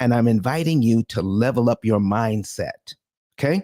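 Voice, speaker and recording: A man's ordinary speaking voice at medium pitch, fairly slow, with ordinary pitch variation. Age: 60s. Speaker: financial educator and seminar host. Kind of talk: live audio room talk.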